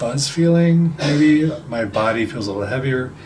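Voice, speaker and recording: A man at a fairly quick pace with ordinary pitch variation, plus audible room echo and noticeable background noise. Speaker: psychic trainer. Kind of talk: video diary.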